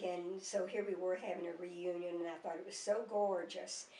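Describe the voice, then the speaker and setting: A woman speaks at a moderate pace in a monotone, flat delivery at medium pitch. Noticeable background noise and audible room echo fill the recording. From US South, Mississippi. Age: 80s+. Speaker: grandmother. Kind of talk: oral history interview. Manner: halting, many fillers.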